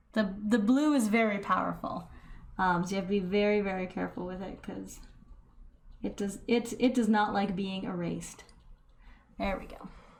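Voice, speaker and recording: A soft-spoken woman at medium pitch talks at a moderate pace with fairly even intonation, long, frequent pauses and big swings in loudness, her voice carrying audible room echo. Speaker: painting tutorial youtuber. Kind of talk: painting tutorial.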